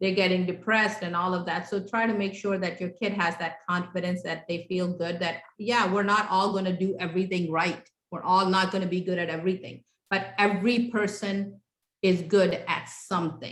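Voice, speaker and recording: Monotone, flat intonation marks this woman's speech with a non-native accent. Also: medium pitch for a woman, moderate pace. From came to the US at age ten, grew up in Houston, Texas. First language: not English. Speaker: parenting class instructor. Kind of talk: interactive workshop class. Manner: conversational, with many fillers.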